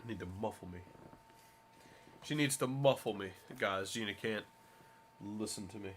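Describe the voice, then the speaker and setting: A man talks at a moderate pace in a fairly low register, with ordinary pitch variation. His loudness swings widely, and he takes long, frequent pauses. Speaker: livestreamer. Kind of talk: casual chat.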